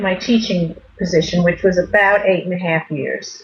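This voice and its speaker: A woman uses a normal speaking voice, moving at a fairly quick pace and showing ordinary pitch variation. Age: 60s. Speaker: retired teacher. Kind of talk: interview.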